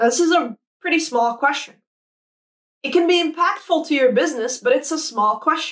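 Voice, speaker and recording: The speaker is loud and enthusiastic, with lively intonation at a fairly quick pace. Long, frequent pauses break it up against a quiet background. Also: woman, high pitch for a woman. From Saudi Arabia. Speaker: product designer. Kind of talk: conference talk. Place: home room. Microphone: lapel.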